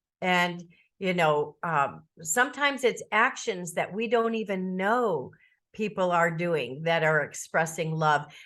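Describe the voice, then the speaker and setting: Over a quiet background, a woman with an unremarkable speaking voice talks at a fairly slow pace with lively intonation. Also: fairly low pitch for a woman. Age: 60s. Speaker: author and podcast guest. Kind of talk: interview.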